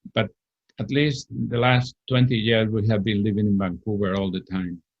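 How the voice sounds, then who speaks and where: Speaking at a moderate pace, a man with a Spanish accent keeps a fairly low pitch and fairly even intonation. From Spain, Madrid. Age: 70s. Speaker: retired historian. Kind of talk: interview. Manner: halting.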